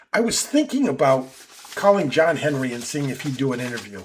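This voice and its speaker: Somewhat breathy, the man's voice sits at a medium pitch. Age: 70s. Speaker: sports commentator. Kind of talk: casual monologue. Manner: hesitant, many filler words.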